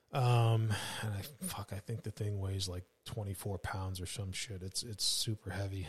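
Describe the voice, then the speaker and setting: Pitched fairly low, a man speaks somewhat breathily at a moderate pace, his intonation fairly even. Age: 40s. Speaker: fugitive recovery agent, former police officer. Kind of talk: casual chat.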